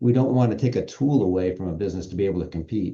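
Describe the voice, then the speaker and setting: Very deep and low in pitch, a man speaks at a very fast pace in a dark, mellow, somewhat breathy voice with ordinary pitch variation. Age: 60s. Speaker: business association executive. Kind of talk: podcast interview.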